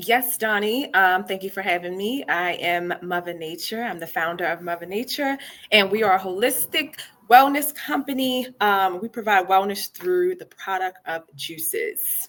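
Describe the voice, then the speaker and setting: In an ordinary speaking voice, a woman with an American accent talks at medium pitch with lively intonation and big swings in loudness. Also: moderate pace. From Baltimore, Maryland (East Baltimore). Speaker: founder of a wellness juice company. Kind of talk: podcast interview.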